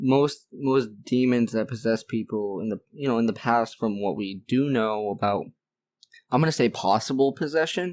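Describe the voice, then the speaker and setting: A man speaks at a moderate pace in a plain, everyday voice, with a medium pitch and ordinary pitch variation. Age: 20s. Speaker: podcast interviewer. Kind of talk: casual interview chat.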